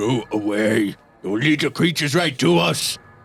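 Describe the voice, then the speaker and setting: Gruff, put-on character voice from a man of medium pitch at a moderate pace. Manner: dismissive, wary.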